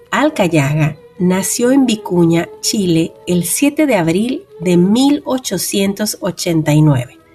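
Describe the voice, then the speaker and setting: Over background music, a woman with a warm tone and medium pitch speaks at a very slow pace, swinging very widely in pitch, with very even loudness and hardly any pauses. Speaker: radio host. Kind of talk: radio literary program hosting. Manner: warm, conversational.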